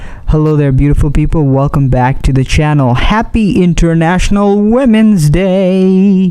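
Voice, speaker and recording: Noticeable background noise runs behind a man speaking at a moderate pace with ordinary pitch variation. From Bangladesh. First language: Bengali. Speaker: YouTuber, commentary channel host. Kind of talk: vlog commentary to camera.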